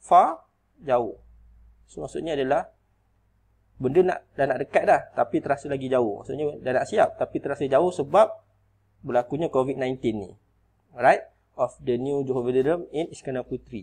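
Moderate pace and a fairly high pitch from a man, ordinary pitch variation, long and frequent pauses. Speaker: teacher. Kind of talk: tutorial.

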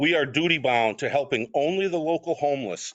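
At a fairly quick pace, a man with an ordinary speaking voice talks in an American accent. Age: 60s. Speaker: city council applicant. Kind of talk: public comment speech. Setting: council meeting. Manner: formal.

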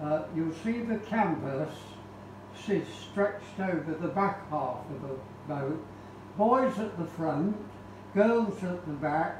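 Over noticeable background noise and audible room echo, a man with a high pitch speaks at a very slow pace with long, frequent pauses. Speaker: speaker. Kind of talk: lecture. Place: hall. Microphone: camera far.

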